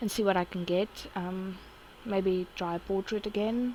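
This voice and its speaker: With a South African accent, a woman speaks at a medium pitch and fairly even intonation. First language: Afrikaans. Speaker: artist vlogger. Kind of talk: casual chat. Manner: halting.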